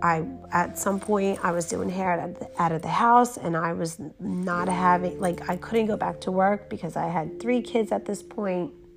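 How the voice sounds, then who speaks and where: Noticeable background noise runs under the recording. A woman speaks at a moderate pace. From Romania. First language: Romanian. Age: 30s. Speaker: hair salon owner. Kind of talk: personal storytelling monologue. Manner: casual, many filler words.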